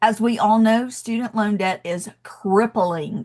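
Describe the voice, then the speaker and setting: A woman with a Southern US accent talks in a fairly high, somewhat breathy voice. Her tone is animated, and the background is quiet. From US South, Athens, Georgia. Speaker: education coach, debt-free college advisor. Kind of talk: webinar presentation.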